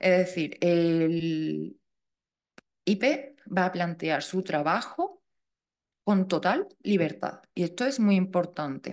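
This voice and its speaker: A woman with a Seville accent speaks at a very slow pace with long, frequent pauses, a fairly low pitch, ordinary pitch variation and very even loudness. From Andalusia, Seville. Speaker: funding expert speaker. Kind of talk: lecture; Q&A answer. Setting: talk with live audience and online viewers. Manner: informal, self-correcting.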